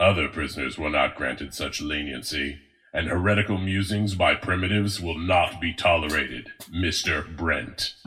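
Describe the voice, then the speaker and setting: Using a put-on character voice, this man pitches himself very deep and low. His delivery moves at a moderate speed. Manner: cold, formal.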